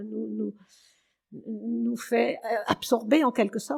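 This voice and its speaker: Her pitch shows ordinary variation. The woman speaks at a very slow pace. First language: Germanic dialect (Alsatian patois) (speaking French). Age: 80s+. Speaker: retired literature teacher, poetry lover. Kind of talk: radio interview. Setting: radio studio.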